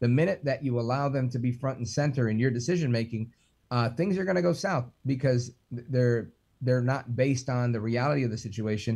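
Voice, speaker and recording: At a fairly quick pace, a man with a medium pitch speaks in a somewhat breathy voice with a dark, mellow tone and ordinary pitch variation. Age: 40s. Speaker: radio talk show host. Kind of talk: casual chat. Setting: video call.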